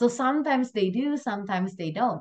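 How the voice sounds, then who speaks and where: A woman's lively intonation with a slight Indonesian accent. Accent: slight Indonesian accent, near-native English. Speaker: event host. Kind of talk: casual chat; closing remarks of online class. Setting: video call.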